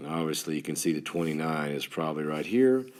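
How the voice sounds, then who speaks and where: Lively intonation marks a man's speech in a West Texas accent. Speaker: third grade teacher. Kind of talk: tutorial. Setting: screen recording with stylus. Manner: halting, some stammers; teacher-like, talking to students.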